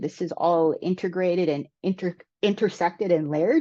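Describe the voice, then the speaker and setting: A woman talks at a moderate pace in a normal speaking voice, medium in pitch with ordinary pitch variation. The background is quiet. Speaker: energy justice presenter. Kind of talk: webinar presentation. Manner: many filler words.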